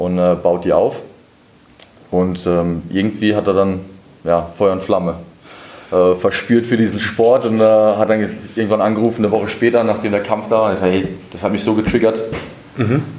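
Amid noticeable background noise, a man with a fairly low pitch speaks at a moderate pace with fairly even intonation and long, frequent pauses. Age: 30s. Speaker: boxing manager. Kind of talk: interview.

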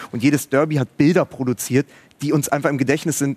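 Monotone and flat, a man's fairly high voice moves at a fairly quick pace, recorded dry and close with no echo. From Berlin, Germany. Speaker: writer and podcaster. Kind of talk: live TV talk show discussion. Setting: studio at a live event.

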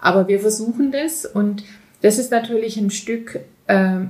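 Her pitch is medium and varies in an ordinary way. The woman has a plain, everyday voice. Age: 50s. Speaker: business coach and shop founder. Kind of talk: interview. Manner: many filler sounds.

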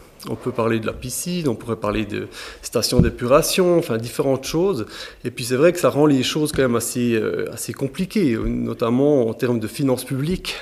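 A man talks in an ordinary speaking voice at a medium pitch. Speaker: local resident. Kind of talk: panel discussion. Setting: town hall meeting room.

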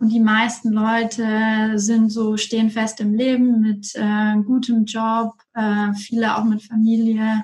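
Very slowly and with hardly any pauses, a woman speaks in a fairly high, somewhat breathy voice, with monotone, flat intonation and very even loudness. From Franconia, Germany (Erlangen). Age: 30s. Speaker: coach and strategy manager. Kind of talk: interview.

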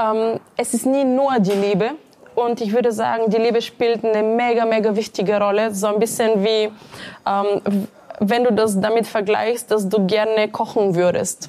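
A woman with a Bulgarian accent speaks at a moderate pace in a flat monotone. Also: fairly high pitch for a woman. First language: Bulgarian (speaking German). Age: 30s. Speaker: entrepreneur and career coach. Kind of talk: interview.

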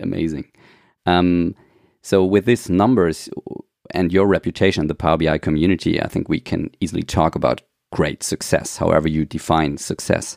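A man's very deep, low voice with a German accent, moderate pace and ordinary pitch variation. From Germany. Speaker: podcast host. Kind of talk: interview. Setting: remote call. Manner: halting.

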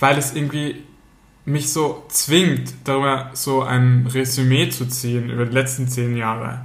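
A man's medium-pitched, somewhat breathy voice at a fairly slow pace, monotone and flat, with audible room echo. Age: 30s. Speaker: podcast co-host. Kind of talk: casual chat.

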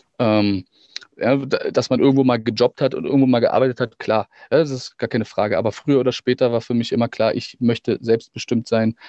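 Intonation stays monotone and flat as the voice moves along at a fairly quick pace. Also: man, medium pitch for a man. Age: 30s. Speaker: actor and musician. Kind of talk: casual interview.

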